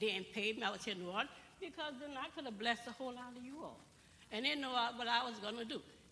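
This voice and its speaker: Against noticeable background noise and audible room echo, a woman talks at a very fast pace with a high pitch and ordinary pitch variation. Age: 70s. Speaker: audience member asking a question. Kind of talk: town hall audience question. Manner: animated.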